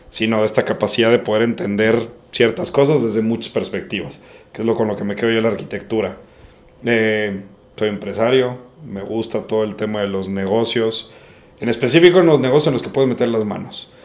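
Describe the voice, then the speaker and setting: A man with an unremarkable speaking voice talks at a fairly quick pace, his medium pitch showing ordinary pitch variation. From Monterrey, northern Mexico. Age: 30s. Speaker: entrepreneur, winery co-founder, architect. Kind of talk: casual podcast interview.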